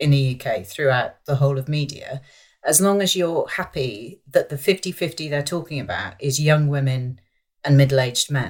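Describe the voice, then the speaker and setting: A somewhat breathy woman with a very deep, low pitch and ordinary pitch variation, at a moderate pace, on a very clean recording with a silent background. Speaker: actress and campaigner. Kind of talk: casual chat.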